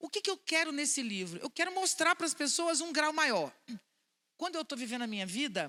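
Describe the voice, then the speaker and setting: A woman projects a raised voice with a bright, sharp, animated tone and very wide pitch swings. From Brazil, Vitória, Espírito Santo. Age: 60s. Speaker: philosopher and speaker. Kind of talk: public talk to an audience. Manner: animated, conversational.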